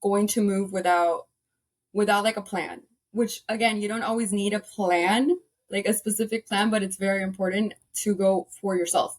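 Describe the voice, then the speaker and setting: A woman speaks with fairly even intonation at a moderate pace and medium pitch. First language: Spanish. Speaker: paralegal and fitness side hustler. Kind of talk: casual interview chat.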